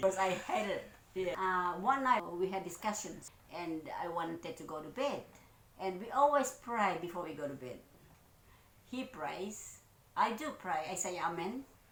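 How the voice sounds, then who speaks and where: A woman with a medium pitch and lively intonation speaks at a moderate pace with big swings in loudness and long, frequent pauses, in audible room echo. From Philippines. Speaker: vlogger. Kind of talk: casual chat.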